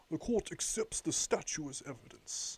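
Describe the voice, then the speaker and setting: Putting on a character voice, a man speaks at a high pitch and a moderate pace, recorded with a dry, close sound and no echo. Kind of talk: dramatized reading of a game script. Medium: solo performance. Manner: formal, measured.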